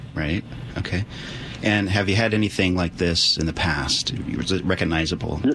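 The pace is moderate and the loudness very even, with ordinary pitch variation. Noticeable background noise is present. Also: man, very deep, low pitch for a man. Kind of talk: live call-in radio show.

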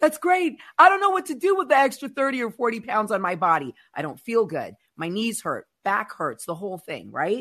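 A woman's fairly high pitch with vocal fry, very wide pitch swings, a moderate pace, and hardly any pauses. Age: 50s. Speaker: podcast host. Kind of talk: casual chat. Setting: studio.

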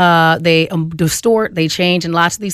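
A woman talks at a fairly quick pace in a normal speaking voice, pitched fairly low with ordinary pitch variation. The recording is very clean, with a silent background. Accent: American. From Phoenix, Arizona. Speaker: comedian. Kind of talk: radio panel discussion.

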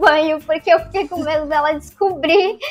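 This clip has a moderate pace and noticeable background noise. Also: woman. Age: 20s. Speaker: influencer. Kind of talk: casual chat.

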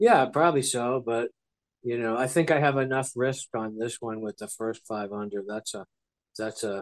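In a dry, close recording with no echo, a man talks at a moderate pace and medium pitch, his pitch varying in an ordinary way. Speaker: sports betting analyst. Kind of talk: casual chat. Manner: dry, nonchalant delivery.

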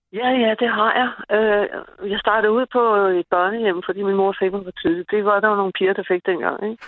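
The woman has an ordinary speaking voice at a medium pitch. She speaks at a moderate pace with fairly even intonation. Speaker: caller. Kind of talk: casual chat. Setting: phone call.

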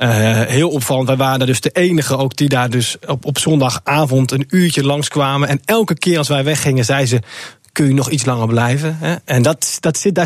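An ordinary speaking voice from a man, medium in pitch, moderately paced, with ordinary pitch variation. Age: 20s. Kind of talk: radio interview.

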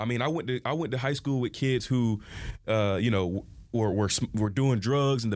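On a very clean recording with a silent background, a man with a Southern US accent speaks at a fairly quick pace in a medium pitch with lively intonation. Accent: Southern US (Georgia). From US South, southwest Georgia. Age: 20s. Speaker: county commissioner. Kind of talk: interview. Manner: halting.

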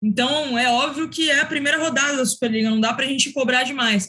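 Using a raised, projected voice, a woman speaks at a fairly quick pace with ordinary pitch variation. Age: young. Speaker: sports commentator. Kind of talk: casual chat. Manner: formal.

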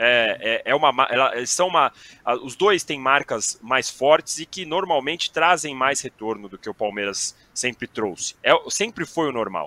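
Lively in intonation and fairly slow in pace, a man's fairly high, bright, sharp voice shows big swings in loudness, with a dry, close sound and no echo. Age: 30s. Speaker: sports journalist. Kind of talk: casual chat.

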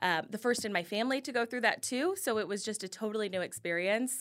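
Speaking at a fairly quick pace, a woman with an American accent has a medium pitch and ordinary pitch variation. Her tone is bright and sharp, and the recording is very clean with a silent background. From Kansas City, Missouri. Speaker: influencer. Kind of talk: casual interview.

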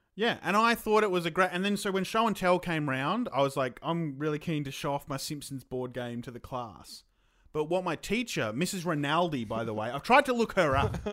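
Talking at a fairly quick pace, a man with an Australian accent has a fairly high pitch. His pitch swings are very wide. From Queensland, Australia. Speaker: comedian. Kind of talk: casual chat. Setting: video call.

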